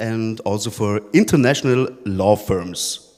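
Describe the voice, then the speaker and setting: Speaking with a German accent, a man keeps a fairly slow pace and a medium pitch, with ordinary pitch variation. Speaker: podcast host, interviewer on stage. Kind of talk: live panel interview. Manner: halting.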